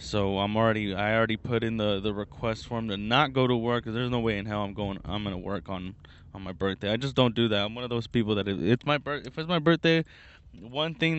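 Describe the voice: With fairly low pitch and ordinary pitch variation, a man speaks at a fairly quick pace.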